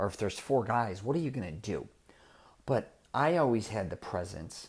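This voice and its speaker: A man speaks at a moderate pace in an animated tone with lively intonation. His voice is somewhat breathy, and the recording is very clean with a silent background. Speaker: podcast host and self-confidence coach. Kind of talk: casual monologue. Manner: animated, repetitive false starts.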